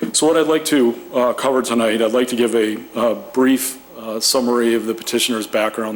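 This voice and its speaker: Over noticeable background noise, a man delivers his words at a very fast pace. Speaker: developer representative presenting to planning commission. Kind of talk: formal presentation at public meeting. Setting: municipal commission meeting room.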